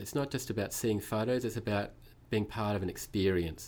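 A man speaks with a New Zealand accent. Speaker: museum director of exhibitions. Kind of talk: casual interview.

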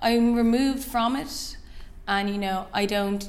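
A woman is speaking. She has an Irish accent. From Ireland. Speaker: fashion designer. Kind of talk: interview. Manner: hesitant, many fillers.

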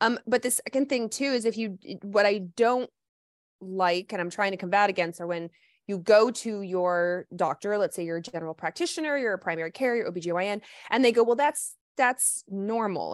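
In an ordinary speaking voice with an American accent, a woman talks fairly quickly at a medium pitch with lively intonation, in a dry, close sound with no echo and a quiet background. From US South. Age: 40s. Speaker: naturopathic doctor. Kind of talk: casual interview. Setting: live stream.

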